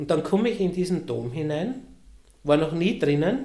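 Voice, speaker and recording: A man's fairly high, dark, mellow voice shows very wide pitch swings and vocal fry, with audible room echo. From Lower Austria. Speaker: cathedral sacristy director. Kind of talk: casual interview. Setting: office near the cathedral.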